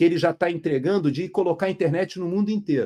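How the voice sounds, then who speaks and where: The man's voice is high-pitched, with a dark, mellow tone. The sound is dry and close, with no echo. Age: 60s. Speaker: retired military officer and commentator. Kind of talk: casual explainer.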